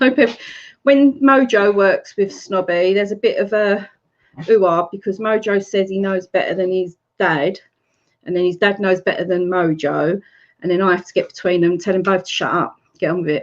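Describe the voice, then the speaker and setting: With an English accent, a woman speaks at a medium pitch. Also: ordinary pitch variation, moderate pace. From Essex, England. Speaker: YouTube live streamer. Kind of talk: casual chat. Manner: animated.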